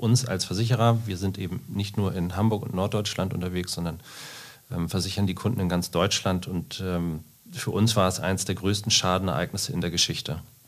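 His pitch is very deep and low. The man talks at a fairly quick pace. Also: fairly even intonation. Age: 40s. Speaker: insurance sales manager. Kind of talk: podcast interview.

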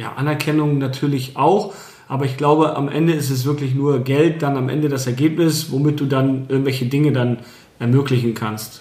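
In a room with audible echo and noticeable background noise, a man speaks at a moderate pace with a fairly high pitch and fairly even intonation. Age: 30s. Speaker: real estate agent. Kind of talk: interview. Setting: his own premises.

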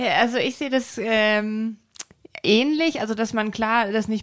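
In a very clean recording with a silent background, a woman has an unremarkable speaking voice, a fairly high pitch and ordinary pitch variation. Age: 30s. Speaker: visual merchandising designer. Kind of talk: casual chat.

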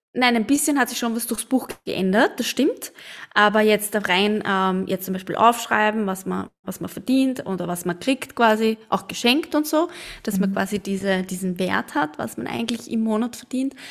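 This woman has lively intonation and speaks in an Austrian accent. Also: fairly high pitch for a woman, moderate pace. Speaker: podcast co-host. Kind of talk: casual chat.

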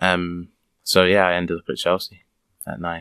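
In a London accent, a man speaks over a quiet background. The sound is dry and close, with no echo. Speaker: professional footballer. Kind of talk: interview. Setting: recorded in a fan shop. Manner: very soft-spoken.

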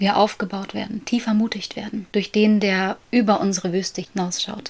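Here a woman speaks at medium pitch, somewhat breathy. Her intonation is fairly even. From Germany, near Paderborn. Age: 20s. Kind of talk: casual faith conversation. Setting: home, child's bedroom.

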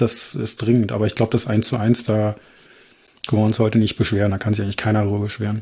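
Somewhat breathy, a man talks at a very fast pace in a fairly low pitch with monotone, flat intonation. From Berlin. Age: 40s. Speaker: football fan. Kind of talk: casual chat.

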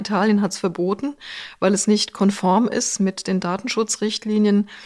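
A woman speaks at a moderate pace in a medium pitch, with an unremarkable speaking voice. The recording is very clean, with a silent background. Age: 60s. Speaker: HR executive and professor. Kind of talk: interview.

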